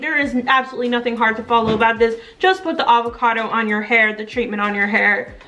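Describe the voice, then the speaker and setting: There is noticeable background noise. Over it, a woman talks at a very fast pace. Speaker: beauty vlogger. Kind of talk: tutorial. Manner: animated.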